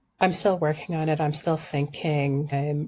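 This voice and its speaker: At a moderate pace, a somewhat breathy voice comes through on a very clean recording with a silent background. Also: woman. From Sudan, childhood also in London and Denmark. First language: Arabic. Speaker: environmental journalist and urban planning scholar. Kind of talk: interview conversation.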